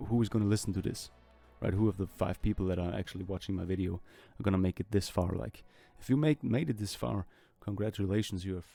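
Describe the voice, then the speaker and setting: His tone is dark and mellow, with a fairly low pitch. The man has a non-native accent and ordinary pitch variation. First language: not English. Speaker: artist and welder/machinist making drawing videos. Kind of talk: voiceover commentary over drawing process. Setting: recorded voiceover. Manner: rambling, hesitant with fillers.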